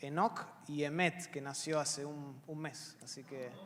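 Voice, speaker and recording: A man with an Argentine accent, amid noticeable background noise and audible room echo. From Argentina. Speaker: pastor and seminary professor. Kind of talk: panel Q&A introduction. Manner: hesitant, many fillers.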